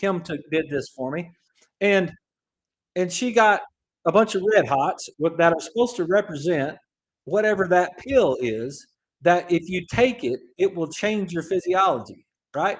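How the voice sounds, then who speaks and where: A man with a high pitch speaks with an American accent and lively intonation. He leaves long, frequent pauses. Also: fairly slow pace. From East Texas and Oklahoma. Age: 50s. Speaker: chiropractor and radio show host. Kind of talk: radio talk show monologue. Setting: radio studio. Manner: casual, animated.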